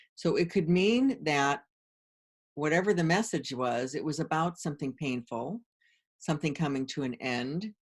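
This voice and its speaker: Here is an unremarkable speaking voice at a moderate pace. The intonation is lively. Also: woman. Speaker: tarot and oracle card teacher; medium. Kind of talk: tutorial. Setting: screen-share video.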